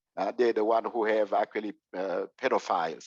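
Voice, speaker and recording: A man speaks with a Congolese accent. The background is quiet. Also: dry, close sound with no echo. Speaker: clergy presenter. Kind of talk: presentation. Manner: halting, many fillers.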